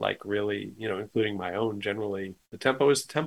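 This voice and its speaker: A man with a plain, everyday voice and a medium pitch talks at a fairly quick pace with ordinary pitch variation. The recording is very clean, with a silent background. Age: 60s. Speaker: musician and arranger. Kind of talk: casual interview chat.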